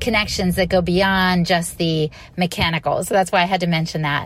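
With music behind her, a woman talks at a medium pitch. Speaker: podcaster. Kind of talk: recorded listener message.

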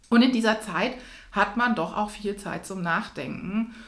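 A woman is speaking. The room echo is audible. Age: 30s. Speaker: executive and coach. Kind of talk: interview. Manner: animated.

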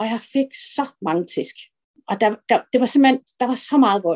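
A woman speaks with a high pitch. The sound is dry and close, with no echo. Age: 50s. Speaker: early retiree sharing weight-loss story. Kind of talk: personal testimony interview. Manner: halting, many fillers.

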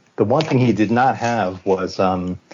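A man's pitch rises and falls in an ordinary way while noticeable background noise carries on behind him. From Hawaii. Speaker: animator. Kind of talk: casual interview.

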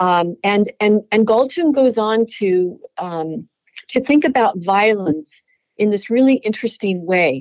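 Her intonation is lively, and the woman speaks at a fairly slow pace. She has an unremarkable speaking voice, fairly high in pitch. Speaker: religion professor and author. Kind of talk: interview.

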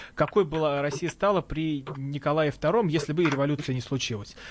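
A man with a fairly high voice delivers his words at a moderate pace. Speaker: radio host. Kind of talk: radio talk show hosting. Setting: studio. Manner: halting.

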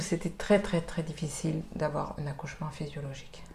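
Moderately paced and fairly even in intonation, this is a plain, everyday voice. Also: woman. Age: 40s. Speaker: mother sharing late motherhood story. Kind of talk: testimony.

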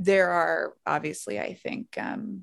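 Vocal fry runs through this voice. The woman speaking has a fairly low pitch. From Louisiana, Baton Rouge. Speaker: public health doctor and nonprofit director. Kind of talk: casual chat.

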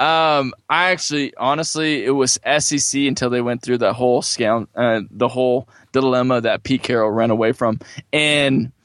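With an ordinary speaking voice, a man talks at medium pitch and a moderate pace with fairly even intonation and big swings in loudness, in a dry, close sound with no echo. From California. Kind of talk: interview.

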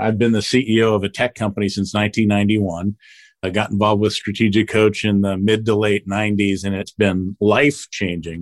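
A man with an American accent speaks in a flat monotone at a fairly low pitch and a fairly quick pace, on a very clean recording with a silent background. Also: dry, close sound with no echo. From US Northeast, South Jersey. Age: 50s. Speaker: tech company CEO. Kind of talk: casual chat.

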